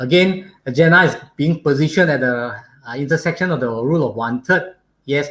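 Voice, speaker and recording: He talks at a fairly quick pace. His voice is fairly high for a man, with ordinary pitch variation. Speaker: photographer. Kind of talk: live online photography talk. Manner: hesitant, many fillers.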